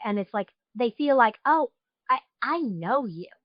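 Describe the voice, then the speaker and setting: Her high-pitched voice carries lively intonation as the woman speaks at a moderate pace. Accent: slight New York. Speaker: podcast host. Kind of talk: interview.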